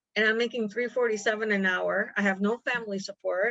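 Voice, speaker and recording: A woman with an American accent speaks at a medium pitch in a bright, sharp tone with ordinary pitch variation. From United States. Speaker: deported adoptee. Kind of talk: interview testimony.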